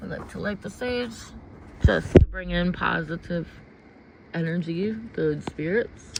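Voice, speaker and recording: With an American accent, a woman talks at a fairly low pitch with ordinary pitch variation and big swings in loudness. She pauses long and often, and there is noticeable background noise. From US Midwest. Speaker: intuitive card reader. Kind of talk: livestream chat. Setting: outdoors in garden. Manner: halting.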